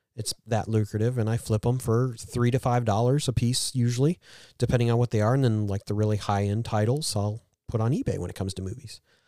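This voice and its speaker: A man's medium-pitched voice at a very fast pace, fairly even in intonation, dry and close with no echo, on a very clean recording with a silent background. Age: 40s. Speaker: podcast co-host and video game reseller. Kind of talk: casual chat.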